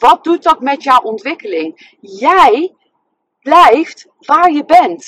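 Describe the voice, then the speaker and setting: Her pitch swings very widely, and the sound is dry and close with no echo. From Netherlands, Nijmegen. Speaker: love coach and therapist. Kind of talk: casual monologue. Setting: in a car.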